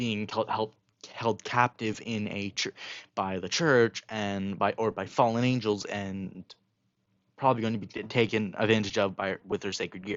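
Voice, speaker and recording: A man with a fairly low pitch talks at a moderate pace, his intonation fairly even. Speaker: fan fiction storyteller. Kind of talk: casual storytelling monologue. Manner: halting, many fillers and restarts.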